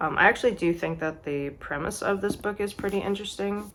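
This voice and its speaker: A woman is speaking. Her voice has vocal fry. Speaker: book vlogger. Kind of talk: casual vlog. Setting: outdoors. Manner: casual, filler-heavy.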